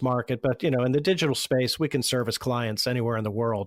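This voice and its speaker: Delivered in an ordinary speaking voice with an American accent, the speech moves at a fairly quick pace in a very clean recording with a silent background and a dry, close sound with no echo. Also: man. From Pittsburgh, Pennsylvania. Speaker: marketing agency founder. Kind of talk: podcast interview answer.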